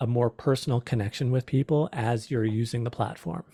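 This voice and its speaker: Dry and close with no echo, a man's somewhat breathy voice sits at a medium pitch. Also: very clean recording, silent background. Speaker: small business presenter. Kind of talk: presentation.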